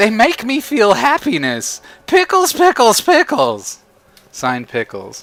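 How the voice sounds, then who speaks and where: Putting on a character voice, a man speaks at an extremely high pitch. The pace is fairly slow. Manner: goofy, silly, bouncy.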